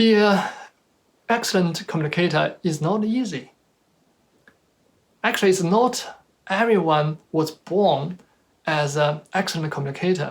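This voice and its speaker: The speaker has a Chinese accent and a fairly slow pace. Long pauses come often. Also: man, high pitch for a man, ordinary pitch variation. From China. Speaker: motivational speaker. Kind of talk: motivational talk.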